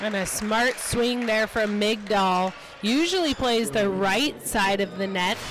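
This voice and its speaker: A woman with a normal speaking voice, fairly high in pitch, with very even loudness, ordinary pitch variation and a fairly slow pace. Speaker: color commentator. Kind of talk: live sports commentary. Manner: explanatory, analyzes plays and players.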